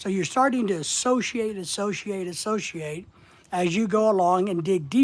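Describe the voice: Pitch varies in an ordinary way as the text gets plain reading aloud.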